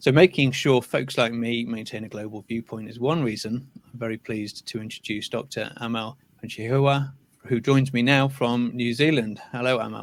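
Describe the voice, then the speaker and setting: A man with a British accent speaks at medium pitch with fairly even intonation and big swings in loudness. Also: moderate pace. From UK. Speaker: channel host, interviewer. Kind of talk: interview.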